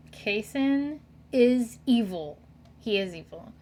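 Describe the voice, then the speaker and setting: A woman's fairly high, somewhat breathy voice at a very slow pace, with lively intonation. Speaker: Twitch streamer. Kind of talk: casual gameplay commentary. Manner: hesitant, with fillers and stutters.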